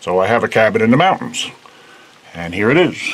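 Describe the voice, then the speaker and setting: A man with an American accent against noticeable background noise. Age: 60s. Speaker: video blogger. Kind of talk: casual vlog. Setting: mountain cabin and outdoors.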